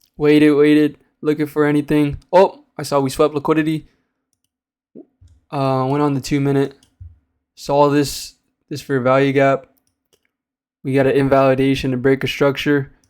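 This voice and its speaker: The delivery moves at a moderate pace, broken by long, frequent pauses. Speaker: day trader. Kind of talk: trade recap tutorial. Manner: loud; casual, hesitant with fillers.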